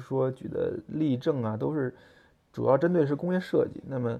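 A medium-pitched man at a moderate pace, with fairly even intonation. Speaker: podcast host, car designer. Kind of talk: solo monologue on design. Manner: hesitant, many fillers.

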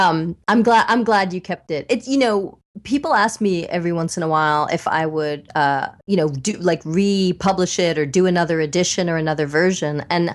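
With a normal speaking voice, a woman talks at a fairly low pitch and ordinary pitch variation. Her pace is moderate with hardly any pauses, over a quiet background. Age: 50s. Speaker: psychiatrist and author. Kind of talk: interview. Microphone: sounds very good.

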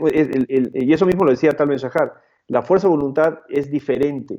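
A man with a fairly high pitch and a dark, mellow tone speaks at a fairly quick pace with ordinary pitch variation. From Peru. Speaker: motivational speaker and author. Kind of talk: interview conversation. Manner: halting, many repetitions.

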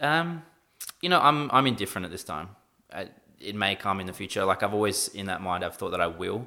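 A man with an Australian accent talks at a fairly quick pace in a fairly low pitch. His pitch swings very widely and his loudness swings a lot. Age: 20s. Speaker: esports team manager. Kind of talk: casual chat.

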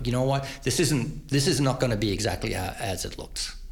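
A man with an Australian accent speaks fairly quickly with vocal fry, and audible room echo is heard. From Australia, Queensland. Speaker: lighting programmer. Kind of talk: interview. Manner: halting.

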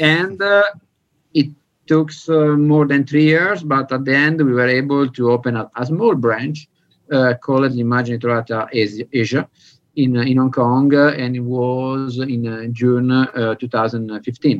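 At a fairly slow pace, a man speaks with an Italian accent and ordinary pitch variation. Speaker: film restoration lab director. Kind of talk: interview.

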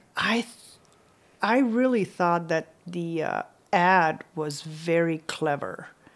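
A woman with a Slovenian accent speaks at a very slow pace, with long, frequent pauses. Her pitch is fairly low, with ordinary variation. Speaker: author and adventure cyclist. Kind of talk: interview.

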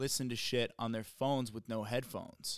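A man speaks at medium pitch and a moderate pace in a monotone, flat intonation. The recording is very clean, with a silent background. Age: 30s. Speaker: stand-up comedian. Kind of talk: casual chat.

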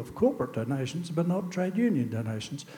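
The speaker is a man. His accent is Australian. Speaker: audience member. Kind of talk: audience question. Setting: stage with audience.

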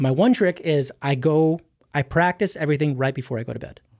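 A man talks at a moderate pace in an ordinary speaking voice, fairly high in pitch with ordinary variation. The recording is very clean with a silent background. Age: 30s. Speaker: musician guest, guitarist. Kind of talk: casual chat. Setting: studio.

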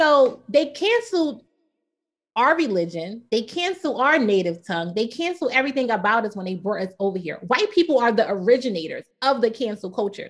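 A woman with an American accent speaks at a fairly quick pace. Her high pitch moves in very wide swings. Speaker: podcast co-host. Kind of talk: casual chat.

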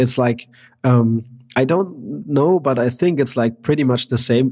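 A man talks with a German accent. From Germany, countryside. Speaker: percussionist. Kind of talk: casual interview chat. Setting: remote call.

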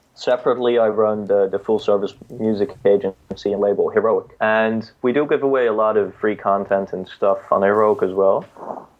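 A man with a Dutch accent at a moderate pace. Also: hardly any pauses. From Netherlands. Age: 20s. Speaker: music entrepreneur. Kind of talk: interview.

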